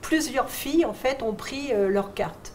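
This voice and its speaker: Noticeable background noise and audible room echo around a woman speaking with ordinary pitch variation. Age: 70s. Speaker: retired shipyard secretary and trade unionist. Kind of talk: testimony. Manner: hesitant, many fillers.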